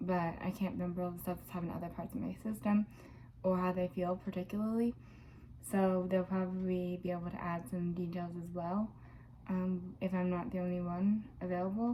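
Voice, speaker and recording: Quiet and at a fairly quick pace, a woman speaks at a medium pitch with fairly even intonation. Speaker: video blogger with DID. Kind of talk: personal vlog monologue. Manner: hesitant, many fillers.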